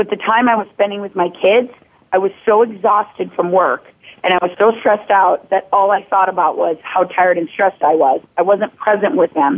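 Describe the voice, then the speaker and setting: A woman with an American accent speaks at a fairly quick pace and medium pitch, using ordinary pitch variation. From Minnesota, US Midwest. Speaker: fitness coach. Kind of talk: interview. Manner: animated.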